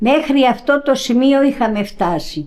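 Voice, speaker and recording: Very slowly, a woman speaks at a high pitch. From Crete, Rethymno area village. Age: 90s. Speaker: elderly villager interviewee. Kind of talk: interview. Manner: halting.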